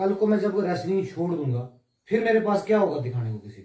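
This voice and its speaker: With very wide pitch swings, a man speaks in a dark, mellow tone. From Jammu region, India. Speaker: wrestler and police sportsman. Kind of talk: interview. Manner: halting.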